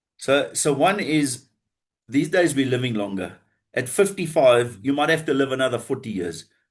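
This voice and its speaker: A man with a normal speaking voice, medium in pitch, with lively intonation at a moderate pace. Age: 60s. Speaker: business funding advisor, former banker. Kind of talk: podcast interview.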